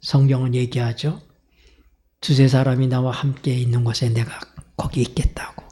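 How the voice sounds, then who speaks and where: A man talks at a moderate pace in a somewhat breathy, dark, mellow voice, his intonation monotone and flat, with long, frequent pauses. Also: medium pitch for a man. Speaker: pastor. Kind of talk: sermon.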